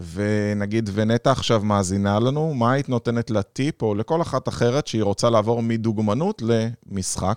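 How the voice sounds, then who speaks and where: A man speaks in an unremarkable speaking voice at medium pitch and a moderate pace, with ordinary pitch variation, very even loudness and hardly any pauses, on a very clean recording with a silent background that is dry and close with no echo. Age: 40s. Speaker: podcast host, business consultant. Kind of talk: interview conversation.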